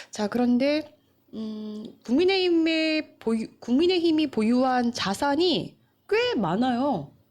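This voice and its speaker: A woman talks at a very slow pace in a high pitch with very wide pitch swings. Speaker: news show host, journalist. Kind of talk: live-stream news talk show. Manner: conversational, many fillers.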